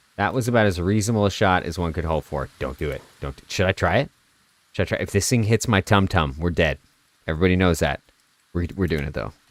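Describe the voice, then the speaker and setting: A man talks at a very fast pace in a very deep, low voice with vocal fry and ordinary pitch variation. The sound is dry and close, with no echo. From Canada. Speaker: video game streamer. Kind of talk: live gameplay commentary. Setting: live stream. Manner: casual, chatty.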